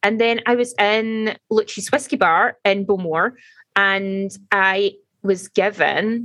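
A woman with a Scottish accent speaks at a very slow pace in a medium pitch with ordinary pitch variation. The sound is dry and close, with no echo. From Scotland. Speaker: podcast co-host. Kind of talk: casual chat.

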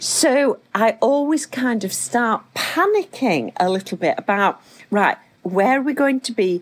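In a British accent, a woman with a fairly high pitch talks at a fairly slow pace with lively intonation. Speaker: podcast host. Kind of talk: casual chat.

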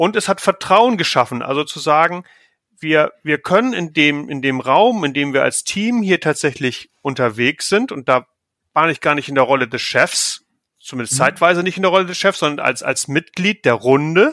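In a very clean recording with a silent background and a dry, close sound with no echo, a man talks at a moderate pace with a fairly high pitch, a bright, sharp tone and lively intonation. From northern Germany, near Hamburg. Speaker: team leader in consulting. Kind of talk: podcast interview.

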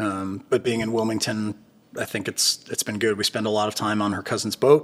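Here is a man with a Californian accent and a fairly low pitch. He keeps a moderate pace with monotone, flat intonation. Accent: General American (Californian). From California, Bay Area. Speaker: defense tech entrepreneur. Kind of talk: casual interview. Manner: hesitant with many fillers and repetitions.

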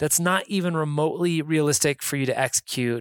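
A man's fairly high-pitched voice with an American accent, moderate pace and ordinary pitch variation, in a very clean, dry, close recording with no echo and a silent background. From Reno, Nevada. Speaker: podcast host, kindness nonprofit founder. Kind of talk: solo podcast monologue. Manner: upbeat, laughing.

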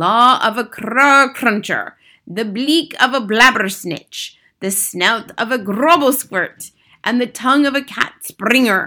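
In a put-on character voice, the speaker goes at a slow pace with a bright, sharp tone and lively intonation. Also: woman, fairly high pitch for a woman.

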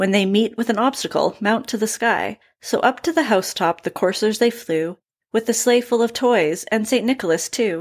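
A woman uses an ordinary speaking voice, fairly high in pitch, with ordinary pitch variation. She keeps a moderate pace on a very clean recording with a silent background. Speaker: podcast co-host. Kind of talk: poem reading, trading stanzas aloud.

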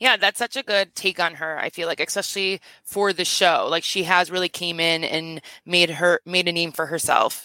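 Fairly low in pitch, a woman has an unremarkable speaking voice with fairly even intonation at a moderate pace. The sound is dry and close, with no echo. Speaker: podcaster. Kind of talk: casual chat.

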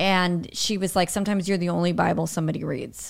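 A woman of medium pitch is heard in a very clean recording with a silent background. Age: 40s. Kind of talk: casual chat.

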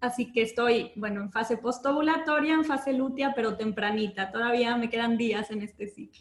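A woman talks at a moderate pace with hardly any pauses. Her voice is fairly high, with ordinary pitch variation. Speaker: menstrual health educator. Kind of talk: casual interview. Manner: calm, relaxing.

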